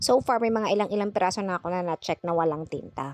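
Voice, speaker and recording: A woman speaks at a very fast pace with lively intonation. The sound is dry and close, with no echo. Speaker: crafter and online seller. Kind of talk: tutorial. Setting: home in the province. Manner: casual.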